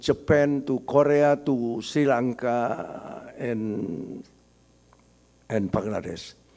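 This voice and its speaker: The speaker is a man with ordinary pitch variation. He talks at a very slow pace. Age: 70s. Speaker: business author and marketing expert. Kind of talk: talk at book discussion.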